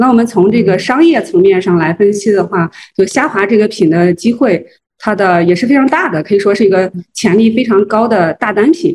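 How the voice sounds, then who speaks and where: A woman with a somewhat breathy voice, fairly quick pace, very even loudness, and lively intonation. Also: medium pitch for a woman. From Henan, Zhengzhou. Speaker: food brand marketing executive. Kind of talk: interview. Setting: livestream. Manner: hesitant, many fillers.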